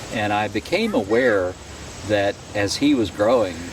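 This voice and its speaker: Noticeable background noise sits under this recording. A man speaks at a moderate pace with a fairly low pitch. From Ohio. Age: 60s. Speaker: retiree telling life story. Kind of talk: life story interview. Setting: outdoors on a driveway. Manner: halting, frequent self-corrections.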